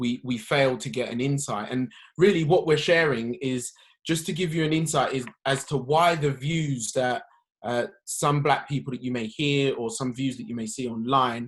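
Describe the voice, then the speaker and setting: Speaking with a London accent at a fairly slow pace, a man uses a fairly high pitch with ordinary pitch variation. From South London. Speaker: podcast guest. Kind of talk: conversational discussion. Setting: socially distanced podcast.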